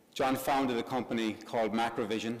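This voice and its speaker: The speaker has an Irish accent and a moderate pace. The intonation stays monotone and flat. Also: man. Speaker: business group president. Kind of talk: event introduction speech. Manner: halting, many fillers.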